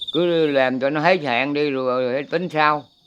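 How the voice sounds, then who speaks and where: Over noticeable background noise, a man with a fairly high pitch talks at a very slow pace with fairly even intonation. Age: 80s+. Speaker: elderly farmer. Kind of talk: casual chat. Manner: halting.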